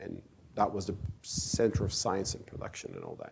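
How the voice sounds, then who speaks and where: A man is speaking here. He has a Turkish accent. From Turkey. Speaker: author and speaker on Islam. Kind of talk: lecture.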